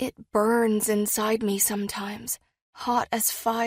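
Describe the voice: Plain reading aloud plays out with only quiet behind it.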